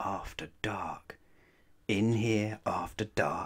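A man's fairly low-pitched voice carries a fairly bright tone with a slightly husky edge.

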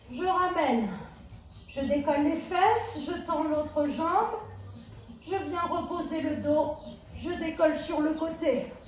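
A woman's extremely high voice with ordinary pitch variation, very slow and broken by long, frequent pauses, amid audible room echo and faint background music. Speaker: fitness instructor. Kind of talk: workout instruction. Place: home room. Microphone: camera far.

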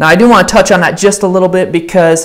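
A man's high-pitched voice against a quiet background. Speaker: pastor. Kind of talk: church announcements before a sermon. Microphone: lapel.

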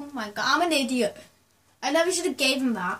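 The speaker is a woman. Her voice rises and falls with ordinary pitch variation. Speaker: gamer. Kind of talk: casual gameplay commentary. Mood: excited, laughing. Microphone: phone near.

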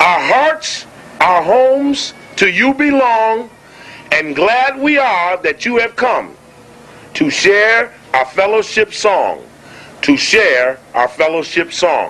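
A raised, projected voice at a very slow pace, with very wide pitch swings and long, frequent pauses. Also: man, high pitch for a man. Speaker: lecturer. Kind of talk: lecture. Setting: stage with audience. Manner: animated. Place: hall. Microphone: podium.

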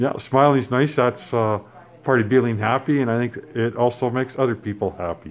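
His intonation is fairly even. The man keeps a moderate pace. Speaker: son filming his mother. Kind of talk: casual talk to camera. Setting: extended care facility. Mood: warm, gentle. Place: home room. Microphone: phone near.

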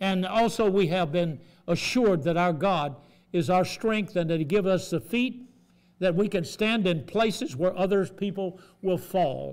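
A man talks at a fairly slow pace in a high pitch, with ordinary pitch variation. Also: slightly mellow tone.

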